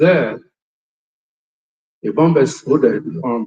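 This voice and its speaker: A man's somewhat breathy, medium-pitched voice with a Nigerian accent and lively intonation. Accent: Nigerian Igbo English. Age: 70s. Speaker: war veteran. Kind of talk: testimony.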